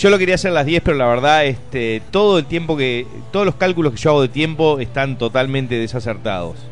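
A man rattles along at a very fast pace with lively intonation. Music plays in the background. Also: fairly high pitch for a man. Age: 30s. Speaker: comedian. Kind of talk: casual chat.

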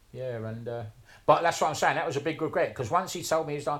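The speaker is a man with a South London accent. His pitch sits fairly high. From south London (Wimbledon). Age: 60s. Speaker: tattooist and tattoo history collector. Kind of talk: casual interview chat.

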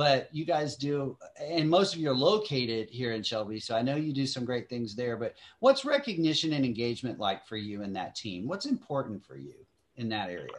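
A medium-pitched man in a Southern US accent talks at a fairly quick pace, his loudness swinging widely. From Kentucky. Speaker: podcast host. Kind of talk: casual chat. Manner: animated.

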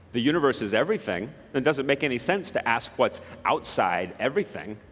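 This man, with an American accent and a medium pitch, talks at a fairly quick pace with vocal fry and very wide pitch swings. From southern Utah, US. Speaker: particle physicist giving a talk. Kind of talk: public talk to an audience.

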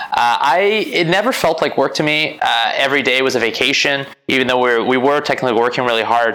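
The voice carries audible room echo. It moves at a fairly quick pace. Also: man. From Quebec, Canada (Montreal). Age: 30s. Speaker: entrepreneur, business owner and real estate investor. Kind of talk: interview conversation.

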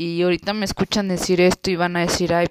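A woman speaks at a fairly low pitch. The sound is dry and close, with no echo. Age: 20s. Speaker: vlogger. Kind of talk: personal testimony. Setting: at home. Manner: casual, hesitant.

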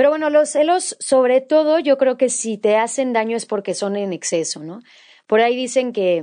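A woman with a Mexican accent and a dark, mellow tone at a moderate pace, against a quiet background. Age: 20s. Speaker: podcast host. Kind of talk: solo monologue podcast.

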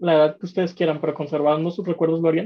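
This woman has a fairly low voice and speaks with a Mexican accent. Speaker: podcast co-host. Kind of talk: casual chat.

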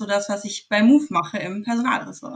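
Its pitch moves up and down by an ordinary amount. There is a somewhat breathy quality to the voice. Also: woman. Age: 20s. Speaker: psychology student. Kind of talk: interview.

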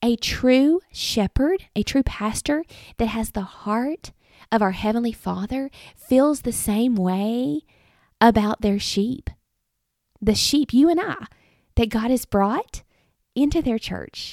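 With a Southern US accent, a woman with a fairly high pitch and lively intonation speaks at a very slow pace with long, frequent pauses, in a dry, close sound with no echo. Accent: US South. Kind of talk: devotional podcast monologue. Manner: halting.

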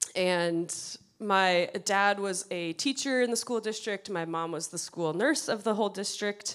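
A woman's plain, everyday voice at medium pitch, with an American accent and a fairly slow pace. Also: ordinary pitch variation. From US Midwest, western Wisconsin. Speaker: church youth ministry staff. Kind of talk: interview before a congregation. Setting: church service with congregation.

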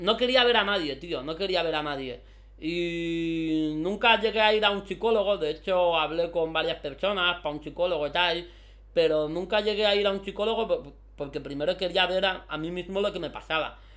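This man has a high-pitched voice. He talks at a moderate pace. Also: ordinary pitch variation. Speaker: content creator. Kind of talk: casual chat. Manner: animated.

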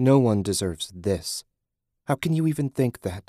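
A man's put-on character voice at medium pitch, moderate pace and very wide pitch swings, in dry, close sound with no echo. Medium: read story.

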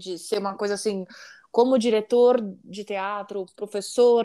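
In a very clean recording with a silent background, a woman with a plain, everyday voice talks at a fairly slow pace and a fairly high pitch. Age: 40s. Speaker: singer. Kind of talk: casual chat.

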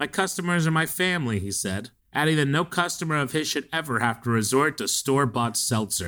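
A man with a bright, sharp tone and fairly high pitch, lively intonation and a fairly quick pace, on a very clean recording with a silent background. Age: 30s. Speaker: podcast co-host. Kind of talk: casual chat.

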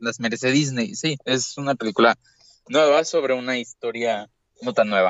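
A man talks in an ordinary speaking voice at a medium pitch. His pace is moderate, with ordinary pitch variation. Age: young. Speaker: podcast co-host. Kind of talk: casual chat.

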